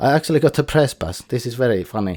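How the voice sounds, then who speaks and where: A man with a dark, mellow tone talks at a fairly quick pace in a very clean recording with a silent background and a dry, close sound with no echo. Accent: Finnish. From Finland. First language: Finnish. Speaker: podcast host. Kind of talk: solo podcast monologue. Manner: casual, somewhat halting.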